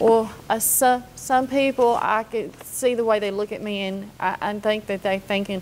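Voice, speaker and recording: A woman with a fairly high pitch speaks at a moderate pace amid noticeable background noise. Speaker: woman facing illness and hardship. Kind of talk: interview. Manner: halting, stammering.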